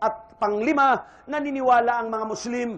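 A Western Visayan accent at a moderate pace, fairly even intonation, and audible room echo. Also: man. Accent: Ilonggo. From Philippines, Iloilo. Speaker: Islamic preacher. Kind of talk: religious lecture.

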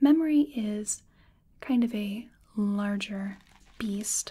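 Soft-spoken and somewhat breathy, a woman talks in a dark, mellow tone. Her delivery is gentle. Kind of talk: soft-spoken explanatory role-play. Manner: soft-spoken, gentle ASMR voice.

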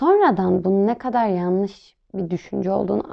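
Fairly slow delivery in a plain, everyday voice, with lively intonation. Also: woman. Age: 20s. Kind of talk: interview answers, monologue.

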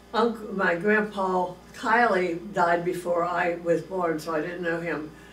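A woman is talking. Audible room echo and light background noise surround her voice. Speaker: interviewee. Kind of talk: interview answer. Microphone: camera far.

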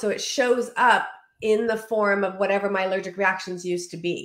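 A woman's voice with ordinary pitch variation, audible room echo and a quiet background. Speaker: remote interview guest. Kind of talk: interview answer. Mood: warm, reflective. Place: home room. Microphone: video call.

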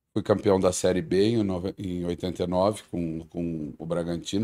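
This man's pitch is very deep and low, with a dark, mellow tone. His intonation is fairly even. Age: 50s. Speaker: football coach. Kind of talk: interview. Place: studio. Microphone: studio mic.

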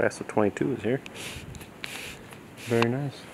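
Over noticeable background noise, a man keeps to a moderate pace. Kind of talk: casual vlog commentary. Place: factory. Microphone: phone near.

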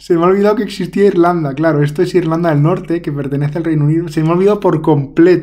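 A high-pitched man speaks fairly quickly with fairly even intonation and a dark, mellow tone. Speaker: secondary school teacher. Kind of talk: casual solo gameplay commentary. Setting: home recording. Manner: chatty, hesitant with fillers.

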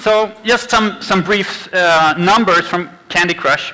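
A man's voice, high in pitch, with fairly even intonation and a fairly slow pace. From Sweden. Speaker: game designer. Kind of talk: conference talk. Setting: stage with audience. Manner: halting. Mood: relaxed, lightly humorous. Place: stage. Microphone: handheld.

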